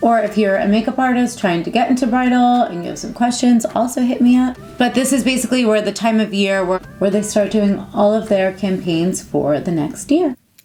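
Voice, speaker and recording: Against noticeable background noise, a woman talks at a fairly quick pace with hardly any pauses, her fairly high voice showing ordinary pitch variation. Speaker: makeup artist and beauty vlogger. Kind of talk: casual chat.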